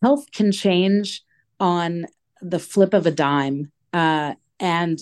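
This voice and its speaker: A woman with an American accent speaks at a very slow pace. Her pitch is medium. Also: quiet background. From New York. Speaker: advocacy campaign director. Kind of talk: interview.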